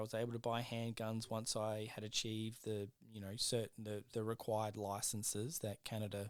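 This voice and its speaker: Recorded very cleanly against a silent background, a man speaks at a medium pitch with an Australian accent. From South Australia. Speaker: podcast co-host. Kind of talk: casual chat.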